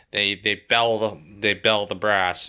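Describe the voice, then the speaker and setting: On a very clean recording with a silent background, a man speaks in a bright, sharp tone. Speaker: hobbyist ammunition reloader. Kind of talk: casual tutorial. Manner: hesitant, many fillers.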